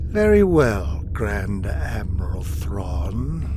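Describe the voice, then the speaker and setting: A man's cartoonish character voice at a very slow pace amid loud background noise. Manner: imperious, haughty.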